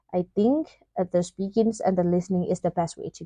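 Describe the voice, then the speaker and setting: In a Burmese accent, a woman speaks with a dark, mellow tone at medium pitch. The sound is dry and close, with no echo. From Myanmar. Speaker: vlogger. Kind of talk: casual vlog talk. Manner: hesitant, many fillers.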